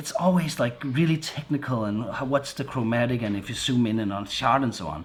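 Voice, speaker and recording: A man with a Danish accent talks at a fairly quick pace. His medium-pitched voice has lively intonation. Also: hardly any pauses. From Denmark. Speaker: vlogger. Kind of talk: product review vlog. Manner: halting, many repetitions and fillers; casual.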